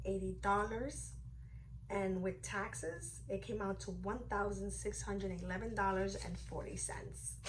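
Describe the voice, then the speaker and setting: The room echo is audible. A woman talks very slowly within it. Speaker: beauty and fashion vlogger. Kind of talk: unboxing video, casual talk to camera.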